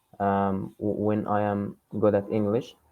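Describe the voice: Slow and fairly low-pitched, a man speaks in a clear, smooth tone.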